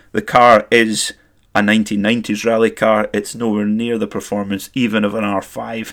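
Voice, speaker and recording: A man with a Scottish accent speaks at a moderate pace in a fairly low, flat monotone, on a very clean recording with a silent background. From Scotland, Perth area. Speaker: motorsport podcast host. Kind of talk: solo podcast commentary.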